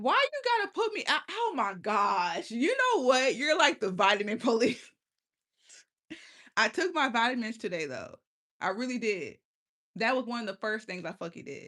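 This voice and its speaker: An animated, bright, sharp female voice, fairly high-pitched, with very wide pitch swings, at a moderate pace with long, frequent pauses. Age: 20s. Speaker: livestreamer. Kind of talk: casual chat.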